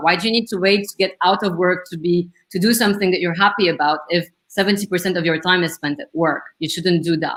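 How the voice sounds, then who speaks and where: With a strong French accent, a woman talks at a fairly quick pace. Her intonation stays fairly even. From Lebanon. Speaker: career coach. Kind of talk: interview. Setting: live stream video call.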